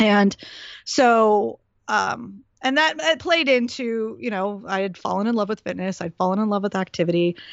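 An ordinary speaking voice from a woman at a medium pitch, with lively intonation. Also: moderate pace. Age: 40s. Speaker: fitness trainer and podcast host. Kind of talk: casual interview chat.

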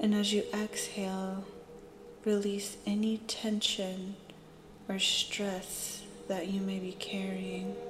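Over noticeable background noise, the speech moves at a very slow pace in a gentle, soothing tone, with long, frequent pauses. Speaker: meditation guide. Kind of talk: guided meditation. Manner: slow, soothing, calm; gentle, with long pauses.

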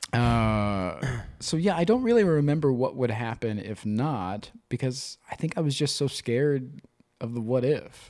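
Recorded very cleanly against a silent background, a man with an unremarkable speaking voice talks at a fairly slow pace, his medium pitch set off by lively intonation. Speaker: podcast co-host. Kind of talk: casual banter and candid conversation.

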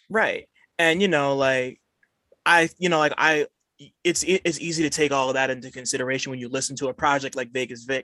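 A fairly high, bright, sharp male voice with ordinary pitch variation at a fairly quick pace, dry and close with no echo. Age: 20s. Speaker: podcast host. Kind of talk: casual chat. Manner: halting, many fillers.

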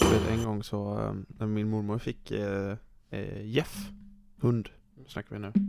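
A man's fairly low, flat, monotone delivery at a very slow pace, broken by long, frequent pauses, with music in the background. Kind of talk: casual chat. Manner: casual.

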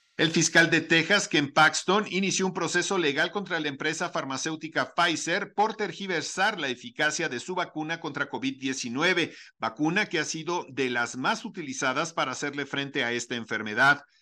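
Speaking at a moderate pace with hardly any pauses, a man uses a bright, sharp tone and lively intonation. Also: fairly high pitch for a man, quiet background. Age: 50s. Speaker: news radio host. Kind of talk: news reading.

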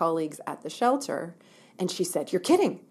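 A woman in a Canadian accent at a very fast pace. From Ontario, Canada. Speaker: women's shelter director. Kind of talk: interview.

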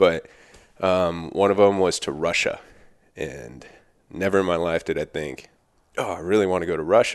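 A man with an American accent talks with vocal fry at a very deep, low pitch and ordinary pitch variation. His pace is moderate, with long, frequent pauses. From Southern California, Thousand Oaks. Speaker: firefighter. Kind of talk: casual chat.

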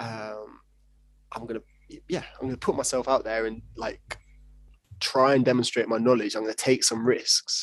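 At a moderate pace, a man speaks at medium pitch with fairly even intonation and long, frequent pauses. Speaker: judoka and sports psychologist trainee. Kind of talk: casual interview chat.

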